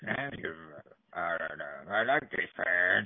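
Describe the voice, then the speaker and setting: A man does a put-on character voice with a very deep, low pitch. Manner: playful.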